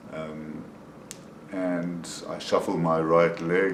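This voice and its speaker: Amid noticeable background noise and audible room echo, a man speaks at a very deep, low pitch in a monotone, flat intonation. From South Africa. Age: 60s. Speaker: person with Parkinson's sharing experience. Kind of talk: personal video diary. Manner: hesitant, with frequent fillers.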